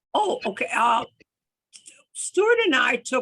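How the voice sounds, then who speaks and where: A woman talks very slowly, her intonation lively. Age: 80s+. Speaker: mystery novelist. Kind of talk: casual chat. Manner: halting.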